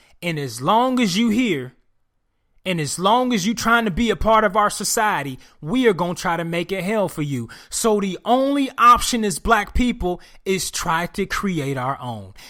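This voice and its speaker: Raising and projecting his voice, a man speaks at a high pitch with a bright, sharp tone. His intonation is lively, his pace moderate, and the recording very clean with a silent background. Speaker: podcast host. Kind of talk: solo podcast commentary. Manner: animated.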